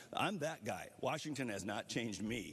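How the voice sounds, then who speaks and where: This is an ordinary speaking voice from a man of medium pitch. He talks at a fairly quick pace with lively intonation. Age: 60s. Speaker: congressman, debate candidate. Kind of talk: closing statement in political debate. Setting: stage with audience.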